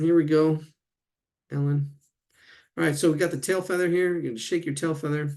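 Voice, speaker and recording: Mumbling at a fairly quick pace, a man speaks with a fairly high voice. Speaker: drawing teacher. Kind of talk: live online drawing class. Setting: live video stream. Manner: halting, repetitive.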